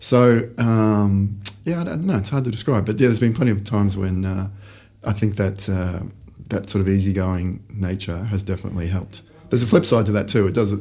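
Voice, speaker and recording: Amid audible room echo, a man with a fairly low, dark, mellow voice speaks at a fairly quick pace with ordinary pitch variation. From Australia, Brisbane. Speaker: startup founder. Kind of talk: podcast interview.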